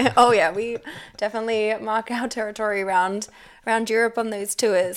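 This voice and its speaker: Fairly quick, fairly even speech in an Australian accent on a very clean recording with a silent background. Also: woman. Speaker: former tour guide. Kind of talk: casual chat. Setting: kitchen.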